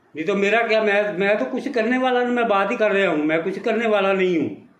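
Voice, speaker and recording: A high-pitched man's voice with audible room echo. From Punjab, India. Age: 70s. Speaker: retired army veteran. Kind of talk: angry political rant.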